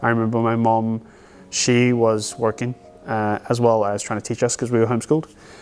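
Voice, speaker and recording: With music in the background, a man at medium pitch speaks at a very fast pace in a monotone, flat delivery. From South Africa, Johannesburg area. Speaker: business owner. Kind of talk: documentary interview. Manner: casual, with hesitations and repetitions.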